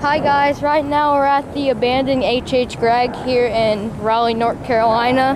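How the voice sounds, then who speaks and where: Speech moves at a fairly slow pace. There is noticeable background noise. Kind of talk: casual vlog chat. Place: street. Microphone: phone near.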